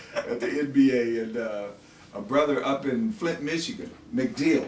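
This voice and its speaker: Light background noise and audible room echo fill the recording. A man speaks at a moderate pace. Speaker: interviewer sharing memories. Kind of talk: conversational storytelling. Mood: nostalgic, proud, amused. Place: home room.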